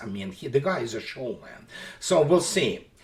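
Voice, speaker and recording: With a Russian accent, the speaker talks at a moderate pace over noticeable background noise. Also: man. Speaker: military analyst blogger. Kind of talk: political commentary monologue. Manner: halting.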